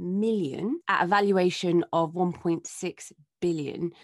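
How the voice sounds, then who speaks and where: An enthusiastic woman's voice, fairly low in pitch, with a British accent. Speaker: podcast producer. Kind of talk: news roundup.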